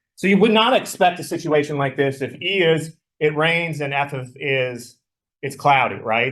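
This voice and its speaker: Speaking with ordinary pitch variation, a man uses a fairly high pitch. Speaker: math teacher. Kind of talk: lecture. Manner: loud.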